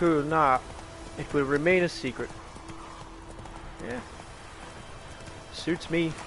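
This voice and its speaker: A man's fairly high voice at a very slow pace, with long, frequent pauses, fairly even intonation and music in the background. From Ireland. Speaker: gaming streamer. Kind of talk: casual chat. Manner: casual.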